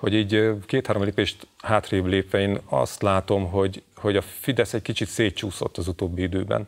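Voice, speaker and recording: The background is quiet. A man with a fairly low pitch talks at a moderate pace in fairly even intonation. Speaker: journalist. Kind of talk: panel discussion. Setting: studio. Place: studio. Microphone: lapel.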